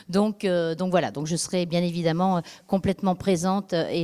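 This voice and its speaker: A woman speaks at a moderate pace in a fairly low, dark and mellow voice, recorded very cleanly with a dry, close sound, no echo and a silent background. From France, Dordogne (from age 13). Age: 50s. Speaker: local election candidate. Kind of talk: campaign speech. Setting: public meeting. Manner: halting, many fillers.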